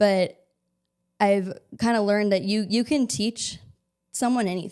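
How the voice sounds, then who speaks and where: Leaving long, frequent pauses, a woman with an American accent talks in a medium pitch with ordinary pitch variation. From US Midwest, Chicago. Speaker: marketing and communications professional. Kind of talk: casual interview chat. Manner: fast.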